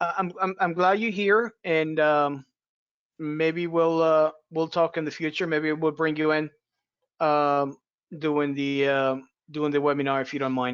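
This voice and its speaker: A man with a fairly high voice speaks at a fairly slow pace. His intonation stays fairly even, with long, frequent pauses. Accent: non-native. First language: not English. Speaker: referee webinar host. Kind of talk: webinar small talk. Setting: video call webinar.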